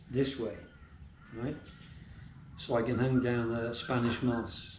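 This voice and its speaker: Somewhat breathy and dark, mellow in tone, a man talks at a medium pitch and a fairly slow pace, his intonation monotone and flat. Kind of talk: casual vlog talk to camera.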